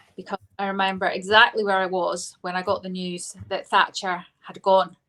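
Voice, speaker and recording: This woman speaks with a Scottish accent. Her pitch is medium. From Scotland, Lanarkshire (Biggar), then Devon from age ten. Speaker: politician. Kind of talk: interview. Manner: hesitant, many fillers.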